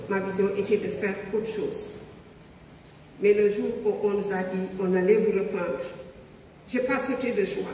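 With audible room echo and light background noise, a woman speaks at a medium pitch and a fairly slow pace in a monotone, flat intonation, leaving long, frequent pauses. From Senegal. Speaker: police officer; guest. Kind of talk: testimony. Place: hall.

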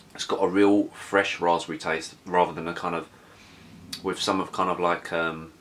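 A man speaks at a moderate pace in a low voice with a fairly bright tone and little pitch movement.

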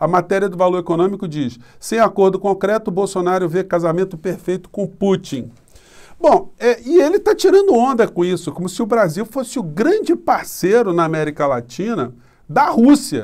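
Against a quiet background, a man with a high pitch speaks at a moderate pace, his intonation lively. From Brazil. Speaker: political commentator YouTuber. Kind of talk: political commentary monologue. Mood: critical, indignant. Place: home room. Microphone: phone near.

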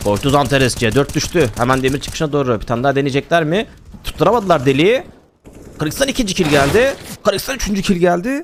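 Talking at a very fast pace, a man uses an animated tone and lively intonation. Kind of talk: esports match commentary, play-by-play of a CS round. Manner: animated, excitable, rapid-fire, laughing at big plays; uses 'we' for the team, a partisan fan-caster tone.

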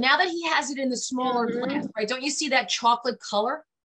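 A woman's high, raised, projected voice in a New York accent, delivered at a very fast pace amid noticeable background noise. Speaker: podcast guest, marketing business owner. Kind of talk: casual conversation on a video call. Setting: online video podcast. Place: home room.

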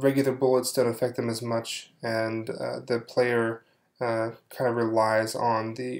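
Quiet and fairly slow, a man talks at a medium pitch with fairly even intonation. The recording is very clean, with a silent background. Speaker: game developer. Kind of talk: software demo. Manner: hesitant, many fillers.

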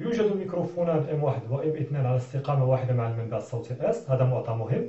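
A man talks at a fairly quick pace with a fairly high pitch, lively intonation and a somewhat breathy voice, and audible room echo surrounds him. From Morocco. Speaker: physics teacher. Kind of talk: tutorial. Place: classroom. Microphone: camera far.

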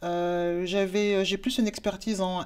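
This woman speaks with fairly even intonation. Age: 40s. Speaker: work-study student. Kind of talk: testimony. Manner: halting, many hesitations. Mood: calm, earnest. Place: office. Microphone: lapel.

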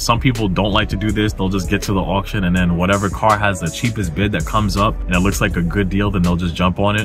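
Clear music plays in the background as a man with a very deep, low pitch talks at a very fast pace, the sound dry with no echo. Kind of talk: tutorial. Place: car. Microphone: phone near.

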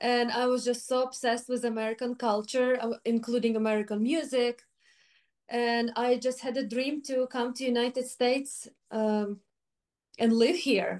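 A woman with a Ukrainian accent speaks at a high pitch and moderate pace. Her intonation is monotone and flat against a quiet background. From Ukraine. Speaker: flutist. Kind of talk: interview. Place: home room.

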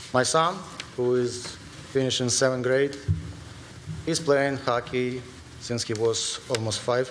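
Amid noticeable background noise and audible room echo, a man at medium pitch speaks at a fairly slow pace with fairly even intonation and long, frequent pauses. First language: not English. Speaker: parent speaking at public comment. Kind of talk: public comment at board meeting. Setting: school board meeting with audience.

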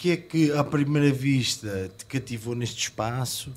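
Somewhat breathy, the man's voice sits at a medium pitch with fairly even intonation. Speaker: podcast host. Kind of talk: interview. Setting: on location at a music club.

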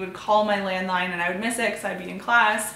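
A woman speaks with ordinary pitch variation. The room echo is audible, and there is light background noise. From Canada. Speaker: lifestyle YouTuber. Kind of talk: personal vlog storytelling. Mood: warm, earnest. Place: home room.

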